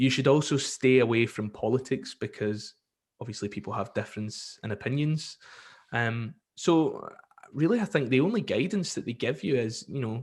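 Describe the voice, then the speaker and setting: Speaking at a moderate pace, a man uses a medium pitch with lively intonation. His voice is somewhat breathy. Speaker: commercial radio presenter. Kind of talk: casual podcast interview answer. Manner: chatty, relaxed.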